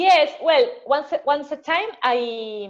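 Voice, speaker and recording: A woman talks at a very slow pace with a Spanish accent. Her pitch varies in an ordinary way. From Argentina. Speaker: marathon swimmer. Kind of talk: interview. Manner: halting.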